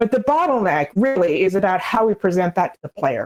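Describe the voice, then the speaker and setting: Speaking at a moderate pace, the woman uses a plain, everyday voice of medium pitch with ordinary pitch variation. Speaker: game narrative designer, conference panelist. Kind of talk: conference talk.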